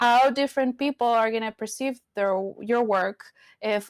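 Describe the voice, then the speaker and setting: A woman with a Spanish accent talks at a fairly slow pace with fairly even intonation, the sound dry and close with no echo on a very clean recording with a silent background. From Venezuela. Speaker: community advocate and educator. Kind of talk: interview.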